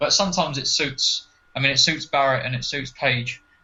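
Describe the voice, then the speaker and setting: A man with an English accent talks at a very fast pace in a fairly high voice, with noticeable background noise behind him. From England. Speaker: wrestling podcast guest. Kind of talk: casual chat.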